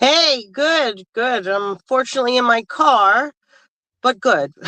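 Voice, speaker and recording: A woman with a New York accent, high-pitched, at a very slow pace, with ordinary pitch variation and a dry, close sound with no echo. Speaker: political candidate. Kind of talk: casual interview. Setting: in a car. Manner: halting, many fillers.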